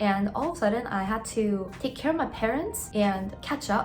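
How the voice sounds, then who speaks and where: A woman speaks in a medium pitch with lively intonation. Noticeable background noise and audible room echo are present. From South Korea, moved to US at 11. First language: Korean. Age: 30s. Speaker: dentist and lifestyle vlogger. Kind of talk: casual vlog talk to camera. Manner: casual, filler-heavy (many 'like's).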